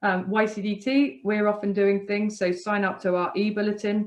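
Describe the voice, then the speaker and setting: A woman with an English accent. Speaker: charity worker training teachers. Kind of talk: webinar presentation. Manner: fast.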